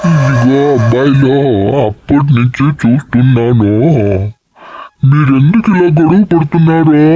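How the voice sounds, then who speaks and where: At a very slow pace, a man does a put-on character voice with a fairly high pitch and ordinary pitch variation. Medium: comedy sketch. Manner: calm, fatherly, moralizing.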